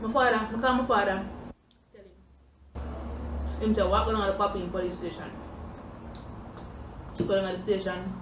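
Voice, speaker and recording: A woman speaks at a moderate pace with a Jamaican accent. Her long pauses come often, over noticeable background noise. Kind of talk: casual storytime talk to camera while eating.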